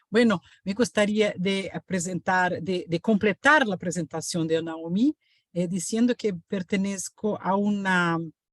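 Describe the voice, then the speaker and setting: With a Portuguese accent, a woman talks at a very slow pace in a medium pitch. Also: ordinary pitch variation, dry, close sound with no echo. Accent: Portuguese-accented Spanish, non-native. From Brazil. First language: Portuguese (speaking Spanish). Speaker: professor. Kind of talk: lecture. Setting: video call webinar. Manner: halting, many fillers and self-corrections.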